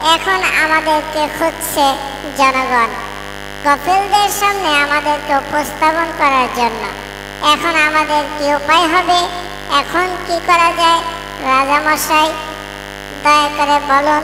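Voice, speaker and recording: A cartoonish character voice moves at a fairly slow pace. Loud background noise runs behind it. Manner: long-winded, dramatic.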